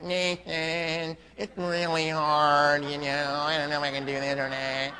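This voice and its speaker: Over clear background noise, a man puts on a nasal character voice, fairly high in pitch, at a moderate pace. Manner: whiny, complaining.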